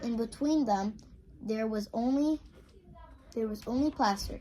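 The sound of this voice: This woman's voice sits fairly high, with a slightly mellow tone. She speaks at a fairly slow pace with ordinary pitch variation.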